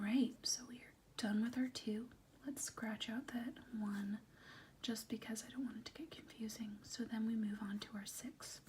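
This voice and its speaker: Soft-spoken delivery in a gentle tone at a moderate pace. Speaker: teacher / tutor (role play). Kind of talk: role-play math lesson, tutoring a student. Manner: soft-spoken, gentle, patient.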